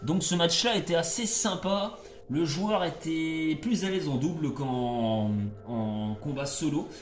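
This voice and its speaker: Music plays in the background as a man speaks loudly at a very slow pace, with audible room echo. His pitch swings very widely. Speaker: gaming YouTuber. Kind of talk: gameplay commentary. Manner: hesitant, many fillers. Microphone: no microphone, speaks loud.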